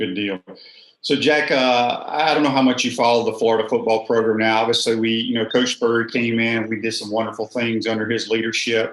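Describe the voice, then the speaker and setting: This man has an unremarkable speaking voice, medium in pitch, moving at a fairly quick pace with fairly even intonation. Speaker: podcast host, former college quarterback. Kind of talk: interview question, podcast host talk.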